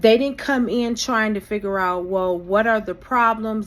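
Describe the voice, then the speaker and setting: A woman with an unremarkable speaking voice, fairly high-pitched with ordinary variation, on a very clean recording over a silent background. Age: 50s. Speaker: vlogger, former insurance agent. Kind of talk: personal vlog monologue.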